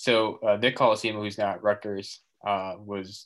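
The speaker is a man with an American accent. His pitch is fairly low. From Massachusetts. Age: 20s. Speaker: student sports photographer. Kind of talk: casual interview.

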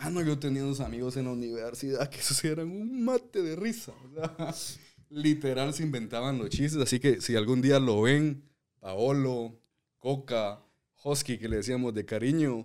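Ordinary pitch variation and a fairly slow pace from a man with a medium-pitched voice. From Guatemala, Zacapa. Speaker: podcast co-host. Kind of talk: casual chat.

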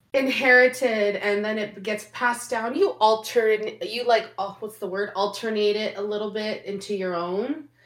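A woman with an ordinary speaking voice talks at a moderate pace and fairly high pitch, with fairly even intonation and hardly any pauses. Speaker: podcast co-host. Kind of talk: casual chat.

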